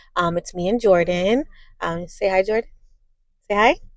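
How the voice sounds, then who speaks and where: A woman at a fairly quick pace. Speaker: vlogger. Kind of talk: casual vlog. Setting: in a parked car. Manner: fast.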